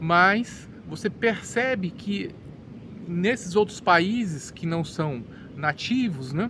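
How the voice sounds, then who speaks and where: A man's high-pitched voice, very slow in pace, with lively intonation. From Brazil. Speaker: English teacher. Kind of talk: educational monologue. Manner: halting, with repeated words.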